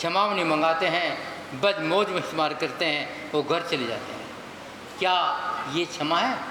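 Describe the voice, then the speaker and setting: A man's raised, projected voice amid audible room echo and noticeable background noise. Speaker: Jain monk. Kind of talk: sermon. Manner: forceful, scolding.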